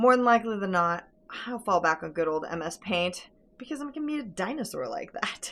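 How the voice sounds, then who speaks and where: A woman talks at a fairly quick pace. Her medium-pitched voice swings very widely in pitch. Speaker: farm vlogger. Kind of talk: vlog monologue. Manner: fast.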